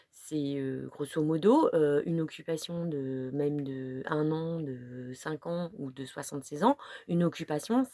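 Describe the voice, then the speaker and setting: A woman speaks at a fairly slow pace, with a dry, close sound and no echo. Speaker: vlogger. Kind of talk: casual monologue. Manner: halting, many fillers.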